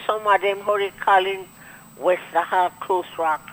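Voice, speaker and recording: A woman talks at a medium pitch with ordinary pitch variation. Noticeable background noise runs behind her. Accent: Grenadian. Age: 70s. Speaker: caller. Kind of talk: call-in radio talk. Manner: halting, hesitant.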